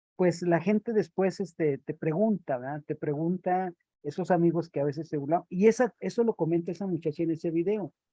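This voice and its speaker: Speaking in a high pitch at a fairly quick pace, a man leaves hardly any pauses. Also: ordinary pitch variation. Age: 60s. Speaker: round-table panelist. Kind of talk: panel discussion. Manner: hesitant, with fillers.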